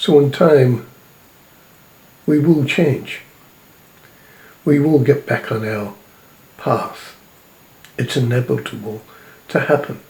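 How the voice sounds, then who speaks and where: Over noticeable background noise, a man with a fairly high pitch speaks very slowly in a solemn tone, with ordinary pitch variation and long, frequent pauses. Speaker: self-described spiritual prophet and messenger. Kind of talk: spiritual sermon or message to camera. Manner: slow, measured, solemn.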